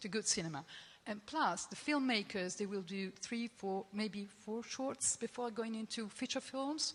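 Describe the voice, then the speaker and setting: With lively intonation and a slightly breathy quality, the speech proceeds at a medium tempo. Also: woman. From Italy. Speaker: film festival programmer. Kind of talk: panel discussion. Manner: halting.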